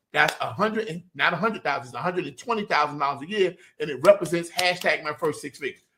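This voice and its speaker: A man with a bright, sharp tone, a raised, projected voice and a very fast pace. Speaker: business coach. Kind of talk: live online business training. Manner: animated.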